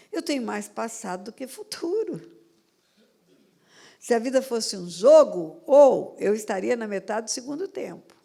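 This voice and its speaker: A woman's fairly high voice, dark and mellow in tone, swings very widely in pitch and greatly in loudness. She leaves long, frequent pauses. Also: fairly slow pace. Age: 70s. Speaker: pastor. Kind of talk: sermon.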